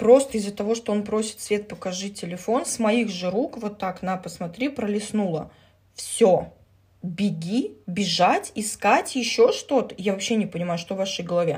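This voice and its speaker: A woman's somewhat breathy, medium-pitched voice comes through over a quiet background. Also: ordinary pitch variation, moderate pace. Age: 30s. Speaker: social media user. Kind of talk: casual vlog monologue. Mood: irritated, defensive about comments. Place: home room. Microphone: phone near.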